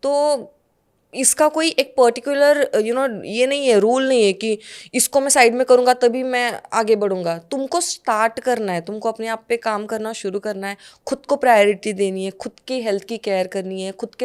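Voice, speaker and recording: The voice shows ordinary pitch variation, captured in a very clean recording against a silent background. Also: woman. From Pune, Maharashtra, India. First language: Marathi (speaking Hindi). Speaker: actress. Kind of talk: podcast interview. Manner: Hindi-English code-switching.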